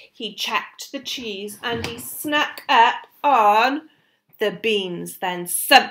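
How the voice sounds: Someone reads in a natural reading voice with lively intonation over a quiet background.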